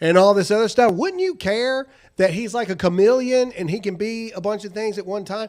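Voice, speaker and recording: In a Southern US accent, a man speaks at a moderate pace with a high pitch and an animated tone. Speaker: political commentary show host. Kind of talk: live-stream political commentary.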